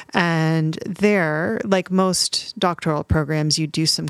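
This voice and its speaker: With a Canadian accent and an unremarkable speaking voice, a woman speaks at a fairly slow pace in a fairly low pitch with fairly even intonation, the sound dry and close with no echo. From Canada (Montreal and Toronto). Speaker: composer and music professor. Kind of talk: interview.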